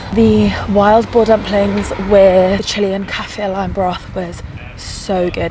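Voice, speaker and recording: A woman is heard with noticeable background noise and audible room echo. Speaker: travel vlogger. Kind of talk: casual vlog. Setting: on a sleeper train. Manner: very soft whisper.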